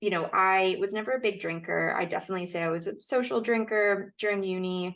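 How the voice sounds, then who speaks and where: A woman with an American accent speaks at a moderate pace in a medium pitch, her intonation fairly even, in a plain, everyday voice. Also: quiet background. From United States. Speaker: podcast guest sharing sobriety story. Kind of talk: casual interview chat.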